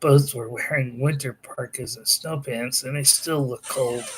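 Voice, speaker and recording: A man puts on a raspy character voice at a medium pitch. He keeps a moderate pace with monotone, flat intonation. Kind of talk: casual story reading. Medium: read story. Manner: halting, self-correcting.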